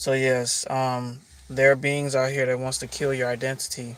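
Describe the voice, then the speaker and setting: This man talks at a medium pitch with monotone, flat intonation. His pace is fairly slow. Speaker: spiritual life coach. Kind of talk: livestream monologue. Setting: live stream. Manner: casual, conversational.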